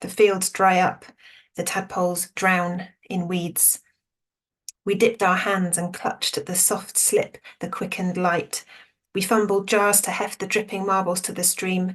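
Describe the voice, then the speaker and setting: The voice is somewhat breathy, with a flat, monotone intonation. It moves at a fairly slow pace. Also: woman, medium pitch for a woman. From Somerset, West Country England. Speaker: poet. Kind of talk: poetry reading with commentary.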